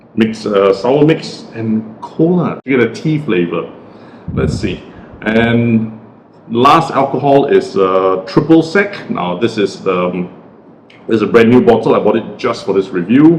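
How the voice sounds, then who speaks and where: Lively intonation from a man of medium pitch at a fairly slow pace, over noticeable background noise. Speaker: cocktail reviewer. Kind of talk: tutorial. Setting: at home. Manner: casual.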